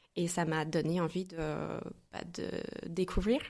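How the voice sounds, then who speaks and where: With an American accent, a woman talks very slowly at a fairly low pitch in a flat, monotone way. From US Midwest, St. Louis, Missouri. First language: English (speaking French). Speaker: entrepreneur. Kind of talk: podcast interview.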